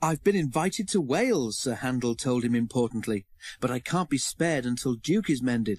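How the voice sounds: The intonation here is lively. It comes through a natural reading voice.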